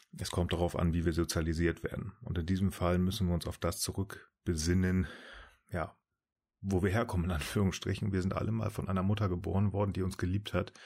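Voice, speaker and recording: A man's very deep, low voice at a fairly quick pace, fairly even in intonation, on a very clean recording with a silent background. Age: 30s. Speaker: podcast guest, Star Trek fan. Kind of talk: casual chat.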